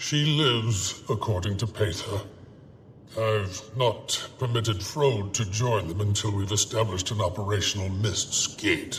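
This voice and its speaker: Using a put-on character voice, a man talks at a moderate pace. His pitch is fairly low, and clear background noise runs underneath. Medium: video game. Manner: measured, dry, reserved.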